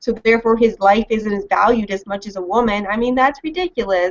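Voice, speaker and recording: A woman with a Mid-Atlantic accent speaks at a fairly high pitch. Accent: American, mid-Atlantic. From Washington DC area, US. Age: 20s. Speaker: libertarian commentator. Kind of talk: interview.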